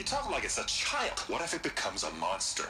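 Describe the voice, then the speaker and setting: A man puts on a character voice. He talks at a fairly quick pace over clear background noise. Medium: machinima. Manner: nervous, defensive.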